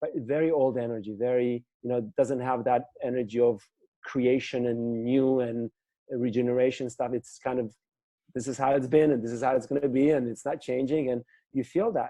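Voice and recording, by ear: A man's medium-pitched voice with a post-Soviet accent, dark, mellow tone, moderate pace and fairly even intonation. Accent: foreign, from the former Soviet Union.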